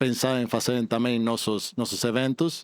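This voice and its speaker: Recorded dry and close with no echo, a man with a non-native accent speaks at a fairly slow pace. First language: not Portuguese (speaking Portuguese). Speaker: telecom industry representative. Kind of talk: panel discussion. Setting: conference stage with audience. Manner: halting.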